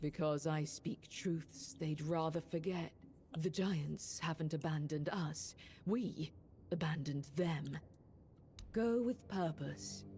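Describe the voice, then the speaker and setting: A put-on character voice at a middle pitch speaks in a solemn tone at a fairly slow pace. Background noise is clear. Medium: video game. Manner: solemn, measured.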